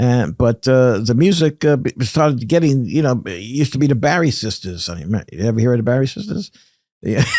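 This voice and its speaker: A man in a New York accent, dark and mellow in tone, medium-pitched, with very wide pitch swings and a fairly quick pace. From Brooklyn, New York. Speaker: radio pioneer and journalist. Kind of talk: interview. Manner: halting.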